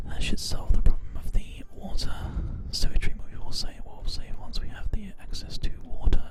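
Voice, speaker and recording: Whispering at a moderate pace in a relaxed tone, the speaker is heard over noticeable background noise. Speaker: ASMR gaming streamer. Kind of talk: whispered live-stream gaming commentary. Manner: soft-spoken, relaxed.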